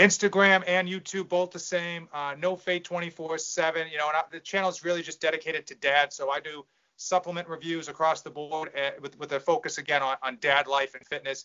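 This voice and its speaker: A man with a fairly high voice speaks at a fairly quick pace in a slight Boston accent, his intonation fairly even. His loudness swings widely, and he hardly pauses. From Massachusetts, near Boston. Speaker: fitness supplement reviewer. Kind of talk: casual chat.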